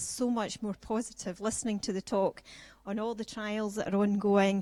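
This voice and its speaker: In a Scottish accent, a woman speaks at a medium pitch and a moderate pace. Her intonation is monotone and flat. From Scotland. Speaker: patient speaker. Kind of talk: personal testimony talk.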